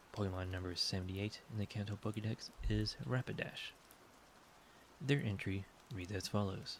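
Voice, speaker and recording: A man talks at a fairly low pitch with ordinary pitch variation. His delivery is somewhat breathy and moves at a moderate pace. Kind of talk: sleep aid ASMR reading of game encyclopedia entries.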